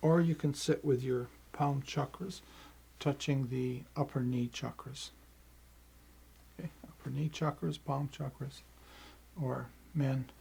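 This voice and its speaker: A man's fairly high, somewhat breathy voice with a dark, mellow tone, fairly even intonation and long, frequent pauses. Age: 70s. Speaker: qigong teacher. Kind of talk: tutorial. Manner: halting.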